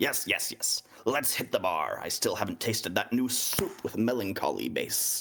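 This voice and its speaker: This man puts on a character voice. His speed is moderate. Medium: actual play. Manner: jovial, confident.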